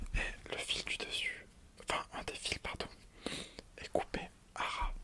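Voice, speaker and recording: Someone whispers. Noticeable background noise sits behind the voice. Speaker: ASMR creator. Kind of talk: casual ASMR talk to camera about crafts.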